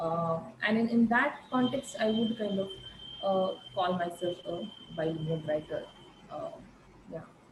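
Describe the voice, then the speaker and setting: Lively intonation marks this fairly slow delivery with long, frequent pauses and noticeable background noise. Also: woman, medium pitch for a woman. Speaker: arts researcher and journal editor. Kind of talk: online panel conversation. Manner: halting, many fillers.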